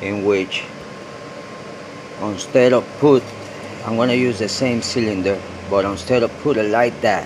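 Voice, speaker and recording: Speaking at a fairly slow pace with a slight non-native accent, the voice keeps a fairly even intonation, breaks into long, frequent pauses, and sits over noticeable background noise. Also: man, medium pitch for a man. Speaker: DIY gold recovery video maker. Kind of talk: tutorial. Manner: casual, hesitant with fillers.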